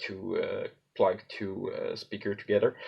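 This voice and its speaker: A man speaks with a Quebec accent. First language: French. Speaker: prop maker / hobbyist. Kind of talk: tutorial. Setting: filmed at home on cellphone. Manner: halting, many fillers. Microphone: cellphone recording, poor sound.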